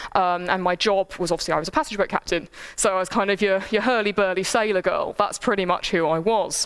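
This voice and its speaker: Background noise is noticeable. A woman speaks at a medium pitch. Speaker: lecturer. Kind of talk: lecture. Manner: animated.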